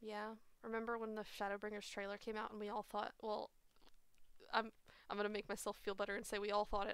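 Cheerful, fairly quick speech in a monotone, flat intonation, dry with no echo and a quiet background. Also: woman. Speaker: live streamer hosting a game night. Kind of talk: casual chat while gaming. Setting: online voice chat, at home with webcam. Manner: laughs often, cheerful. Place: home room. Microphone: headset.

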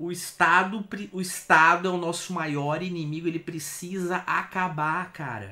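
An angry man speaks loudly with a Brazilian accent at a high pitch. His tone is bright and sharp, and his pace is fairly slow. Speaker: video host reacting to videos. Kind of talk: angry rant, ranting at the state. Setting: reaction stream, watching a video. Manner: angry, vehement, heated, cursing; loud, emphatic, exasperated. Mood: indignant, exasperated. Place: home room.

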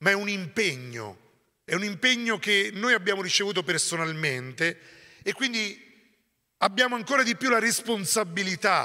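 Against a quiet background, a man raises and projects his high-pitched voice. His tone is bright and sharp, and his pace fairly slow. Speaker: priest, community leader; priest. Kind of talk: sermon-like talk. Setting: monastery gathering with audience. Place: church. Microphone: handheld.

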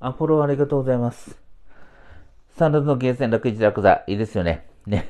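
A man with a dark, mellow tone and a medium pitch talks fairly quickly with ordinary pitch variation, taking long, frequent pauses against a quiet background. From Kumamoto, Japan (Hitoyoshi); Kumamoto. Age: 40s. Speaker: supermarket IT manager and livestreamer; livestreamer. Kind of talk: casual livestream chat. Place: home room. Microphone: lapel.

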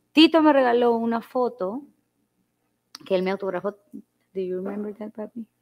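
Speech unfolds at a moderate pace. Behind it, the background is quiet. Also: woman. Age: young. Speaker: guest. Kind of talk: casual chat. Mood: reflective, emotional at times. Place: home room. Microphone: lapel.

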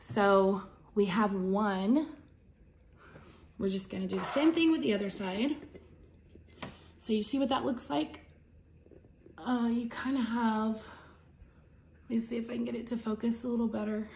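The speech moves at a moderate pace with long, frequent pauses. Light background noise can be heard. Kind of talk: tutorial. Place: home room. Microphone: phone near.

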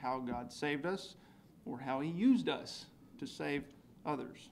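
At a moderate pace, a man talks with lively intonation over light background noise. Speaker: church member giving communion meditation. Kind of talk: devotional talk. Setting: church. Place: church. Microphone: podium.

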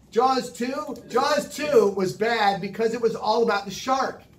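A man with an American accent, audible room echo and light background noise. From Southern California, San Diego; California. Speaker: animation director; guest. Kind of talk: lecture. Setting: studio. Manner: animated. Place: studio. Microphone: handheld.

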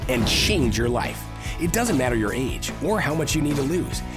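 Music in the background behind a man's moderately paced speech. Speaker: infomercial announcer. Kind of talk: TV commercial read.

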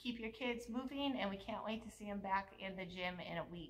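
Light background noise sits behind a woman talking at a moderate pace with ordinary pitch variation. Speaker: gym coach. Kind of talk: workout instruction. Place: gym. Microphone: camera far.

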